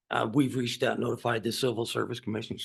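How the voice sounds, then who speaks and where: A man puts on a raspy, hoarse character voice at a medium pitch, speaking very fast in a flat monotone. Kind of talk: formal, professional.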